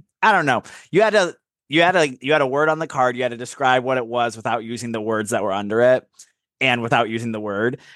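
Very fast, animated speech from a man at medium pitch, with ordinary pitch variation over a quiet background. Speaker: podcast co-host. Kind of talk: casual chat.

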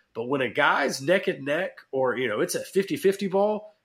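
On a very clean recording with a silent background, a man talks at a moderate pace in a normal speaking voice with lively intonation. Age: 30s. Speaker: sports podcast co-host. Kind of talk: casual chat.

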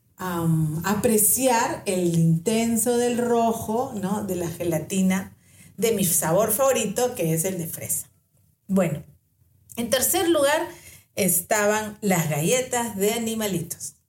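This woman talks at a very slow pace, her medium-pitched voice somewhat breathy. Her intonation is lively. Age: 50s. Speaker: podcast host. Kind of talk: casual storytelling monologue.

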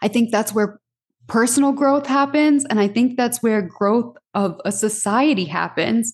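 Somewhat breathy and fairly slow, the voice has ordinary pitch variation against a quiet background. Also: woman. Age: 30s. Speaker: podcast host. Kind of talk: solo casual monologue.

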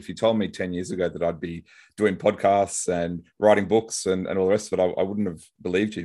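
Fairly even intonation in an Australian accent, over a quiet background. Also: man. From Brisbane, Australia. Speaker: lawyer and author. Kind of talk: casual interview chat.

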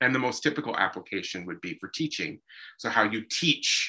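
The voice has a bright, sharp tone and an American accent. Its intonation is lively, set against a quiet background. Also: man. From Pennsylvania, Lehigh Valley. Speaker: German linguist. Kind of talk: casual interview. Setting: video call.

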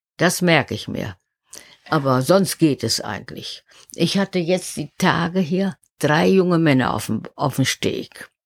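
On a very clean recording with a silent background and a dry, close sound with no echo, a woman speaks at a fairly slow pace in a very deep, low pitch with lively intonation and vocal fry. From northern Germany, Oldenburg. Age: 70s. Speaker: harbour master. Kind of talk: interview. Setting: site trailer at harbour.

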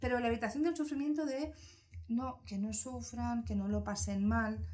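Noticeable background noise runs through the clip. A woman talks fairly slowly. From Spain, Barcelona. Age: 40s. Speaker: psychologist. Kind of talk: casual interview.

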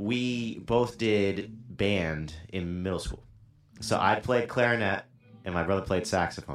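A man's fairly low, fairly slow voice with ordinary pitch variation and music in the background. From Rhode Island. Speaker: band guitarist. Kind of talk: casual chat. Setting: studio.

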